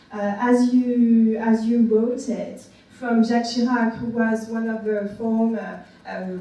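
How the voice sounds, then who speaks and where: Amid noticeable background noise and audible room echo, a woman speaks very slowly at a fairly high pitch with monotone, flat intonation. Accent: French. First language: French. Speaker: academic discussant. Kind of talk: panel talk. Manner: halting, many fillers.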